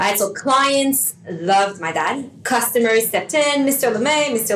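The speaker goes at a moderate pace with ordinary pitch variation over noticeable background noise. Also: woman. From Canada, Montreal. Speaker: wellbeing and meditation coach, business co-founder. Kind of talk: interview.

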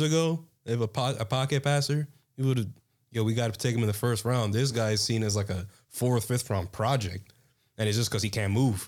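The recording is very clean and the background silent. A plain, everyday voice talks at a moderate pace, its pitch varying in an ordinary way. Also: man, very even loudness. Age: 20s. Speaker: college student. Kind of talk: casual chat.

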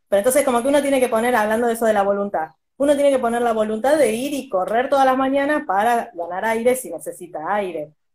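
Speaking at a very fast pace with hardly any pauses, the voice carries lively intonation and a Rioplatense accent. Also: woman, fairly high pitch for a woman. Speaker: podcast host. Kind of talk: casual chat.

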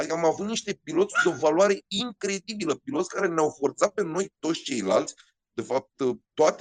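A man with a high pitch sounds animated, his intonation lively, in a dry, close recording with no echo. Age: 40s. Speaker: rally co-driver and motorsport commentator. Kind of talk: interview storytelling.

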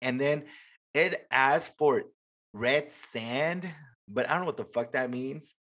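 Ordinary pitch variation at a fairly slow pace. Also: man. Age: 20s. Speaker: podcast host. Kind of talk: casual chat; reading aloud.

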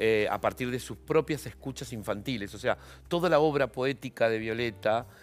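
Over music in the background, a man talks at a moderate pace with fairly even intonation. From Argentina. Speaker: journalist and novelist. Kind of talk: interview. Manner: halting.

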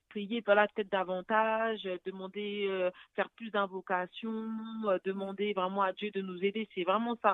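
This woman's medium-pitched voice stays monotone, with flat intonation. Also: fairly slow pace. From France (Paris). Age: 30s. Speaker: widow sharing her story, nursing student. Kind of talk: testimony. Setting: phone call.

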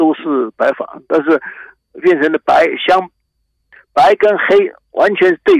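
Very slow speech comes through with a dry, close sound and no echo. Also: man. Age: 70s. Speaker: gardening expert. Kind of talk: radio interview.

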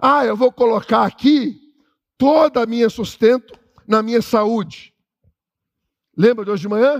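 An animated man speaks at an extremely high pitch, with ordinary pitch variation and long, frequent pauses. The sound is dry and close, with no echo. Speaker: pastor. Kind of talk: sermon. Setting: church.

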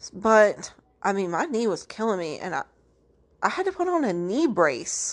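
Against a quiet background, a woman talks at a fairly high pitch with very wide pitch swings. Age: 20s. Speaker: podcast host. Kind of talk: casual monologue. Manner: filler-heavy, many ums and likes.

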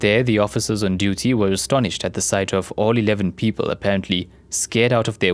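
A man with an unremarkable speaking voice and a fairly low pitch talks at a fairly quick pace with fairly even intonation, in a very clean recording with a silent background. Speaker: storyteller narrator. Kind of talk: true-crime style scripted narration, a measured, ominous storytelling cadence.

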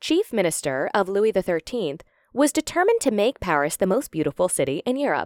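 Very wide pitch swings at a fairly quick pace, in a dry, close sound with no echo on a very clean recording with a silent background. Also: woman. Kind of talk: history documentary narration, reading an encyclopedia article aloud. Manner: measured, formal, neutral, with no commentary.

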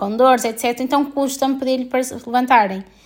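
A woman's high-pitched voice with fairly even intonation, on a very clean recording with a silent background. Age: 20s. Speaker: podcaster and doctor. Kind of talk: casual monologue.

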